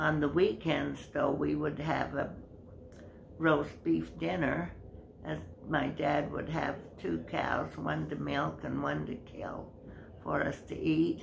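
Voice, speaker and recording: With noticeable background noise behind her, a woman speaks at a very slow pace with long, frequent pauses. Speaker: interviewee. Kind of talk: interview answer, storytelling. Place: home room. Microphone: phone near.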